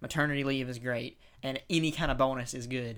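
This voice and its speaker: A man with an American accent speaks at medium pitch in a bright, sharp tone, with fairly even intonation and a fairly quick pace. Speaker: podcast co-host. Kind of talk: casual chat. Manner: fast.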